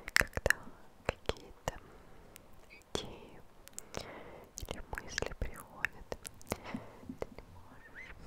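Soft-spoken and whispering, a woman speaks at a very slow pace with long, frequent pauses. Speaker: ASMR creator. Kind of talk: soft sleep-guidance whisper. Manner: soft sleepy close whisper. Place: home room. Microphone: studio mic.

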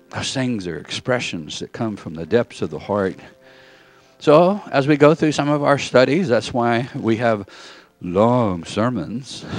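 A man's voice shows big swings in loudness, with a dry sound with no echo and faint music in the background. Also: fairly slow pace. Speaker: preacher. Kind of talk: sermon. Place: church.

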